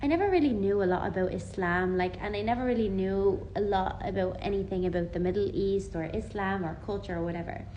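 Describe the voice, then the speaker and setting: An Irish accent comes through as a woman of medium pitch talks very fast with hardly any pauses and fairly even intonation, room echo audible and background noise noticeable. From Ireland. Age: 20s. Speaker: vlogger. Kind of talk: personal testimony. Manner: casual, conversational.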